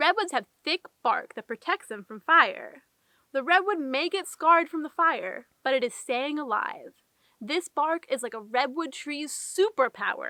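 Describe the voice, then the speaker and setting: A woman's high, bright, sharp voice with very wide pitch swings, a fairly slow pace, and a dry, close sound with no echo. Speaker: park ranger. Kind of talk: children's educational puppet show narration. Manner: friendly, gentle.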